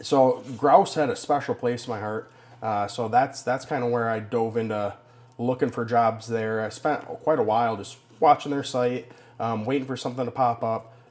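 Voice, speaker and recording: A man speaks with a Minnesota accent at a medium pitch. His intonation stays fairly even. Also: moderate pace. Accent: picked up a Minnesota. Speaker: forester for a conservation group. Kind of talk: podcast interview.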